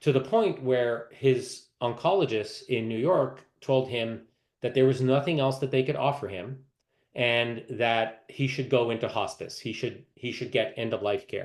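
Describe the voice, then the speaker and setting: A man's medium-pitched voice, fairly slow in pace, with ordinary pitch variation. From Canada. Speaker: medical oncologist. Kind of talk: lecture. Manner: halting, many fillers.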